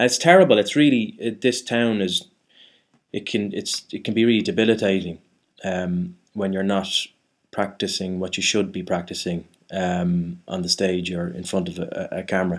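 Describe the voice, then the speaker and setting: A man with a Dublin accent speaks at a moderate pace with a fairly low pitch and ordinary pitch variation. The recording is very clean, with a silent background. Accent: Irish (Dublin). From Ireland. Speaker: actor. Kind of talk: casual chat. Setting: studio. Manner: halting, many false starts.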